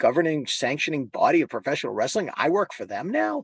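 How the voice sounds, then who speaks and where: With an American accent, a man speaks very fast, his pitch varying in an ordinary way. The background is quiet. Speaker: pro wrestling ring announcer. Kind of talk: casual interview answer, storytelling. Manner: emotional, nostalgic, conversational.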